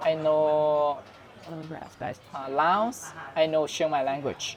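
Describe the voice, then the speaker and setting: With a Thai accent, a man speaks at a very slow pace and fairly high pitch with fairly even intonation, amid noticeable background noise and audible room echo. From northern Thailand. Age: 20s. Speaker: Buddhist monk. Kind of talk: casual interview. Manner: halting.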